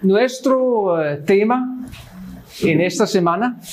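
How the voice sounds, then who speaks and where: A high-pitched man with a Swedish accent at a very slow pace, ordinary pitch variation, and noticeable background noise. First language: Swedish (speaking Spanish). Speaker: Lutheran missionary pastor. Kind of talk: Bible study teaching. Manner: halting, many fillers.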